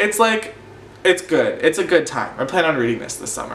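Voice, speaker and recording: A man with an animated tone uses a raised, projected voice, with audible room echo and noticeable background noise. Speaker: book vlogger. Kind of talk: casual chat. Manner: fast.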